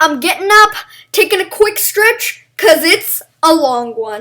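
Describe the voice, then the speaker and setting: A woman projects a raised voice with a bright, sharp tone, lively intonation and a fairly slow pace. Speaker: gaming YouTuber. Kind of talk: video game review. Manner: animated; loud.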